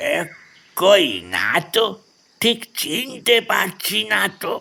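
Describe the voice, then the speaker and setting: Using a put-on character voice, a man speaks at a very slow pace. His voice is raised and projected. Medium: audio drama. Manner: humble, deferential.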